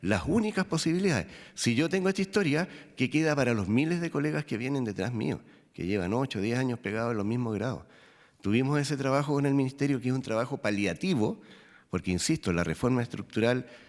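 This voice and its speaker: A medium-pitched man talks at a very fast pace with very wide pitch swings, on a very clean recording with a silent background. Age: 60s. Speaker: prison officers' union representative. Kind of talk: testimony before a parliamentary committee. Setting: parliamentary committee hearing. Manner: halting, with fillers and restarts; formal.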